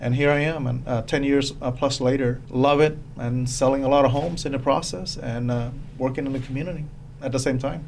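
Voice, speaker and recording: A man speaks at a fairly high pitch. Noticeable background noise is present. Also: fairly quick pace. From Cambodia. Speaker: real estate agent and former police officer. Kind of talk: casual interview chat.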